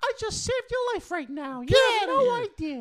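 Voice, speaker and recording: This put-on character voice sits at an extremely high pitch with very wide pitch swings. The pace is moderate. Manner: excited.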